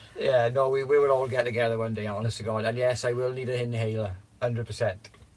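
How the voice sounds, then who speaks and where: Noticeable background noise accompanies a man talking at a very fast pace. His medium-pitched voice stays monotone, with flat intonation. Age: 50s. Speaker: livestreamer. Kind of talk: casual chat. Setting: livestream.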